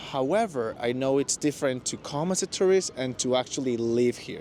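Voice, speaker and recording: Amid noticeable background noise, a man with a Spanish accent speaks at a fairly quick pace. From Mexico. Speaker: former office worker in Japan. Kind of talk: interview. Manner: hesitant, many fillers.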